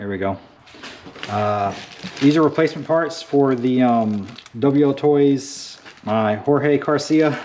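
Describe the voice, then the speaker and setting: A medium-pitched man with long, frequent pauses against noticeable background noise. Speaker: RC hobby YouTuber. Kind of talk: casual vlog update. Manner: halting, stuttering. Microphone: new GoPro media mod mic, sound test.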